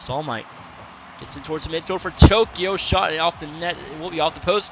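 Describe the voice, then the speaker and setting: A man talks at a high pitch. Noticeable background noise runs behind him. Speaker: esports caster. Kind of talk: live commentary.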